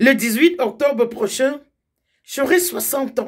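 Over a quiet background, a woman speaks very slowly at a high pitch with ordinary pitch variation. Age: 50s. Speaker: political commentator. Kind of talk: direct-to-camera political appeal. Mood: earnest, warning. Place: home room. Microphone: phone near.

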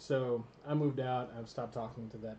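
Fairly even intonation marks a man's medium-pitched voice, heard through noticeable background noise. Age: 30s. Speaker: gaming channel host. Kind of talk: casual chat. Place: home room. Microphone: studio mic.

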